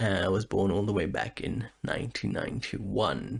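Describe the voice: This man speaks at a low pitch with a slightly husky edge and vocal fry. His pace is fairly slow, with ordinary pitch variation.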